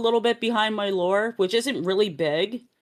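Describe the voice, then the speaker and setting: A woman talks in a normal speaking voice, fairly high in pitch, with ordinary pitch variation at a moderate pace. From Canada. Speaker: VTuber streamer. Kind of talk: casual chat.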